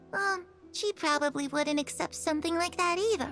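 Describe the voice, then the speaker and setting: A squeaky, put-on character voice at a moderate pace. Clear music plays in the background. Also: female-sounding voice, extremely high pitch for a woman. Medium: video game. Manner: soft, warm.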